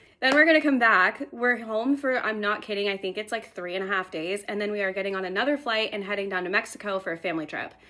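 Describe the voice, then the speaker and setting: A woman's upbeat, medium-pitched voice at a very fast pace with hardly any pauses, ordinary pitch variation and noticeable background noise. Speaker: lifestyle vlogger. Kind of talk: casual vlog talk. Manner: chatty, upbeat.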